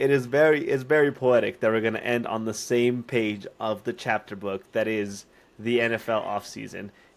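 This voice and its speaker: An unremarkable speaking voice from a man, with ordinary pitch variation at a moderate pace. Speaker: sports podcast co-host. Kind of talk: casual chat.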